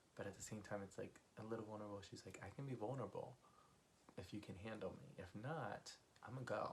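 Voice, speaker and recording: A man's quiet, somewhat breathy whisper at a very fast pace. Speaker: music reaction YouTuber. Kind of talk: casual talk to camera. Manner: whispered, quiet.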